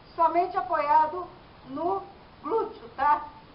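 A woman speaks at a very slow pace in an extremely high pitch with ordinary pitch variation, with audible room echo and light background noise. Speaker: fitness instructor. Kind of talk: workout tutorial instruction. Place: garden. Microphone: camera far.

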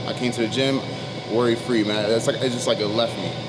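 Loud background noise accompanies a man speaking at a very fast pace. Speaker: vlogger. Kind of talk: casual vlog chat. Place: gym. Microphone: phone near.

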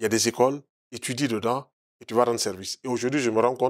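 A man speaks at a fairly quick pace with a medium pitch and fairly even intonation. The background is quiet. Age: 60s. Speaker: naturopath; interview guest. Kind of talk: TV interview. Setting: TV studio. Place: studio. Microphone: lapel.

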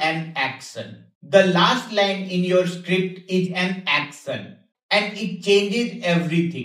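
In a room with audible echo but a quiet background, a man speaks very slowly in a high pitch with fairly even intonation. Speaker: tech educator. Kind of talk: tutorial. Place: home room.

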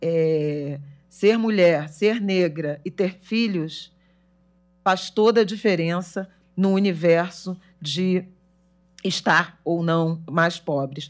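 Speaking at a very slow pace with long, frequent pauses, the voice has ordinary pitch variation over a quiet background. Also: woman, fairly low pitch for a woman. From Brazil. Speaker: journalist. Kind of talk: panel talk. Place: hall. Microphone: podium.

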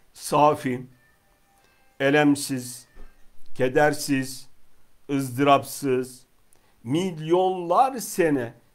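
Music plays in the background as a man speaks. He goes at a very slow pace with ordinary pitch variation. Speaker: religious teacher. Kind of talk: religious lecture. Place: home room.

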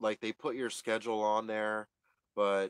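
Monotone, flat speech at a fairly slow pace, with a dry sound with no echo and a quiet background. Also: man. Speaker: vlogger. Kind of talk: casual vlog chat. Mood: frustrated, weary venting.

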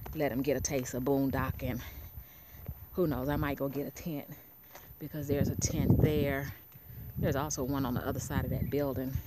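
A fairly quick pace against loud background noise, in a dry sound with no echo. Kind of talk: casual vlog chat. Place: open country. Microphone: phone near.

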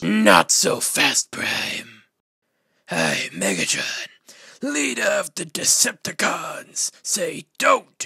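A raspy, cartoonish character voice from a man, at a very slow pace. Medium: puppet.

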